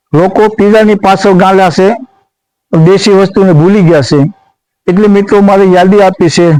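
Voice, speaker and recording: A high male voice with a dark, mellow tone, very even loudness and ordinary pitch variation. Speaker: cooking vlogger. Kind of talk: cooking vlog.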